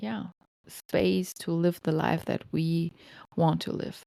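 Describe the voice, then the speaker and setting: Fairly slow speech in a German accent, dry and close with no echo, on a very clean recording with a silent background. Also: woman. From Germany. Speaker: podcast host, lactation counselor. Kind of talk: personal storytelling monologue. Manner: casual, with hesitations.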